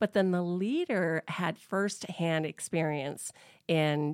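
A woman has a plain, everyday voice with a fairly low pitch, ordinary pitch variation and an American accent. The recording is very clean, with a silent background and a dry, close sound with no echo. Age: 50s. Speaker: business owner. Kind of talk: interview. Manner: casual, conversational.

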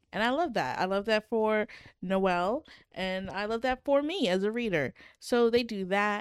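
A woman with an ordinary speaking voice talks at a fairly slow pace, her fairly high pitch carried by lively intonation. The recording is very clean with a silent background, and the sound is dry and close with no echo. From Canada. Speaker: podcast co-host. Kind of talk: casual banter podcast chat reviewing books.

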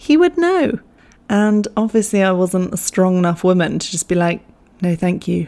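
A woman with an English accent speaks at a medium pitch and a fairly quick pace in an animated tone. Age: 20s. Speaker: podcast host. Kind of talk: casual storytelling monologue. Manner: animated, laughing often.

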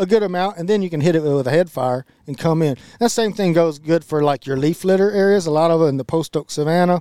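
In a Texan accent, a man talks at a very fast pace with a high pitch and a dark, mellow tone, in a dry, close sound with no echo. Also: ordinary pitch variation. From Central Texas. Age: 40s. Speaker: podcast co-host, land and wildlife manager. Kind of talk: casual chat.

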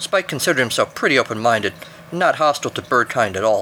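Plain reading aloud comes with lively intonation.

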